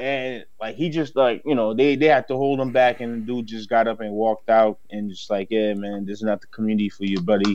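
A man talks at a fairly quick pace with hardly any pauses. He has an ordinary speaking voice, medium in pitch, with ordinary pitch variation. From Haiti, raised in Dorchester, Boston. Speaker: commercial real estate broker and entrepreneur. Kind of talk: casual chat.

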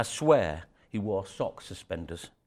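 Speaking at a very slow pace, a man with a Yorkshire accent uses lively intonation. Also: very clean recording, silent background. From northern England, York (Yorkshire). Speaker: storyteller. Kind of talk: storytelling talk to an audience. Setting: stage with audience. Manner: halting, many fillers and repeats.

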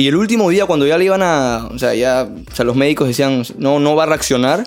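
Over music in the background, a man with a fairly high pitch talks at a fairly quick pace in an animated tone with ordinary pitch variation. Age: 20s. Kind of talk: testimony; casual chat.

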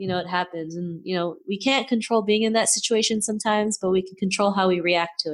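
Here is a woman with an ordinary speaking voice and medium pitch. She moves at a fairly quick pace with fairly even intonation. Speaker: podcaster and self-confidence coach. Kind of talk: casual interview chat, motivational.

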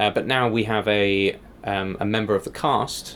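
In an English accent, a man talks at a fairly slow pace with a fairly low pitch. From England. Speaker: improviser. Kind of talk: casual interview. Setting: podcast.

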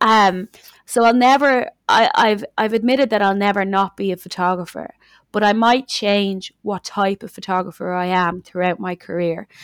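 A woman talks at a medium pitch and a moderate pace, with ordinary pitch variation. The recording is very clean, with a silent background and a dry, close sound without echo. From Dublin, Ireland. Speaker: musician or artist, also runs a studio. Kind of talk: casual chat, podcast interview. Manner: changes accent to match the listener.

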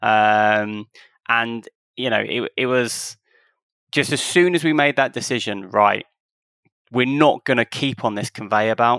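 A man talks at a fairly slow pace with long, frequent pauses, at a medium pitch with ordinary pitch variation. His tone is bright and sharp, and the sound is dry and close with no echo. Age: 30s. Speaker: football association chief executive and lawyer. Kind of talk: casual interview chat.

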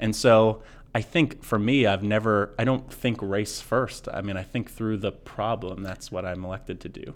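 A man with a plain, everyday voice, a fairly low pitch and an American accent speaks at a moderate pace with fairly even intonation, hardly any pauses and big swings in loudness, on a very clean recording with a silent background. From Portland, Maine, US. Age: 30s. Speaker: city councilor and mayoral candidate. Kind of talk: political interview. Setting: studio.

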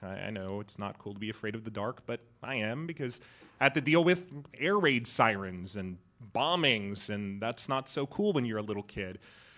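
With a General American accent, a man speaks in an animated tone at a medium pitch and moderate pace. The recording is very clean and the background silent. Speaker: improv comedian. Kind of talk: stand-up storytelling. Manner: animated, humorous.

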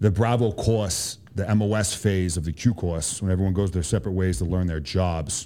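In a Boston accent, a man with a very deep, low pitch and a dark, mellow tone speaks at a moderate pace with fairly even intonation. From Boston, Massachusetts. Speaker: Army special forces soldier. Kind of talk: casual interview.

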